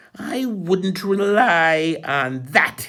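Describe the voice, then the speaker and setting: A man puts on a character voice with a high pitch. His intonation is lively. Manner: menacing.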